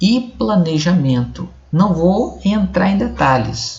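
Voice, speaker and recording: Very slow pace, with a somewhat breathy quality. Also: man. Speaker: video blogger. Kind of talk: explainer monologue. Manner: halting.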